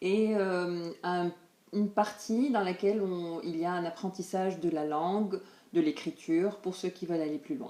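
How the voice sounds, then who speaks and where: A woman speaks in a dark, mellow tone at a medium pitch. Her pace is fairly slow and her pitch variation ordinary. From Tunisia. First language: Tunisian Arabic (speaking French). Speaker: language teacher. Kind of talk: promotional presentation. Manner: hesitant, many fillers.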